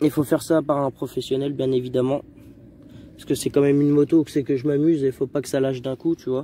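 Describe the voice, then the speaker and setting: Speaking at a very fast pace, a man uses monotone, flat intonation with big swings in loudness. His voice is fairly high in pitch and dark and mellow in tone. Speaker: dirt bike vlogger. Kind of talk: casual vlog. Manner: soft-spoken; halting.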